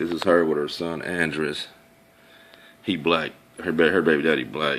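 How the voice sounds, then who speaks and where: Speaking with vocal fry and a very deep, low pitch, a man moves at a fairly quick pace. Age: 30s. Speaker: video blogger. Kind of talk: casual monologue showing photos. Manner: animated.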